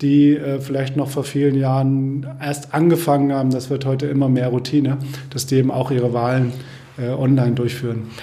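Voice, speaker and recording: With noticeable background noise and audible room echo, a man speaks at a medium pitch and moderate pace in a monotone, flat intonation. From Germany, Kassel (northern Hesse). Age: 50s. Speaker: software company founder and managing director. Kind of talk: casual interview.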